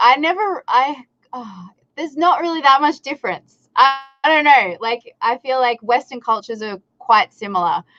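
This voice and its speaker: A woman in an Australian accent speaks in a raised, projected voice at a moderate pace, with very wide pitch swings and big swings in loudness. The sound is dry and close, with no echo. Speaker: content creator and recording artist. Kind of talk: casual interview chat. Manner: animated, hesitant with many fillers.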